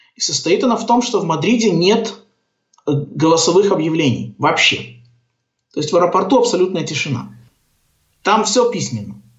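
The intonation is lively and the pace moderate. Long, frequent pauses break up the speech, with audible room echo around it. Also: man, high pitch for a man. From Belarus (Gomel). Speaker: orientalist, software developer. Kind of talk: casual interview. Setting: Skype call.

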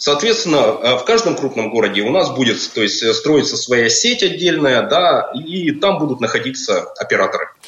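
Noticeable background noise sits under a man's voice. He keeps a moderate pace and very even loudness, with hardly any pauses. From Russia, Perm. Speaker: project manager. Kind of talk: radio interview. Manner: halting, many filler sounds.

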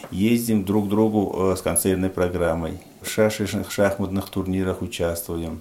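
Over noticeable background noise, a man speaks fairly slowly in a very deep, low voice. His intonation is monotone and flat. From Tajikistan. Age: 40s. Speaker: head of a local society for the blind. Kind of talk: radio interview.

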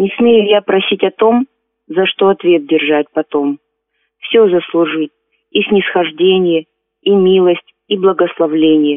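A woman's voice at a very slow pace, with long, frequent pauses, very even loudness and ordinary pitch variation. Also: medium pitch for a woman. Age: 50s. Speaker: amateur poet, seamstress. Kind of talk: poetry reading.

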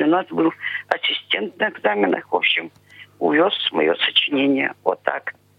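Noticeable background noise under a woman's moderately paced speech. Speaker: blind pensioner, interviewee. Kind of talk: interview. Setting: phone call.

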